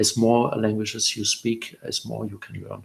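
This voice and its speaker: In a German accent, a man delivers his words at a fairly slow pace. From Germany. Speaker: guest parent on multilingual upbringing. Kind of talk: interview. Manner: halting, many fillers.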